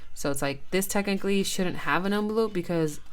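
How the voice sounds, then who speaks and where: A woman with an American accent in a room with audible echo. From California. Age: 30s. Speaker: budgeting vlogger. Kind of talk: casual tutorial. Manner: hesitant, with fillers.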